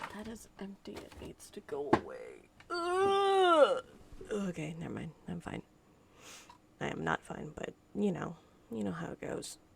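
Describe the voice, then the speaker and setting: Against noticeable background noise, a woman speaks at a fairly slow pace with long, frequent pauses and big swings in loudness. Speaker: game streamer. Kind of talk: live gameplay stream chat. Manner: animated.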